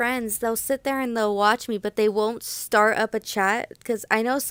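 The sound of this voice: Fairly even intonation carries this unforced reading voice.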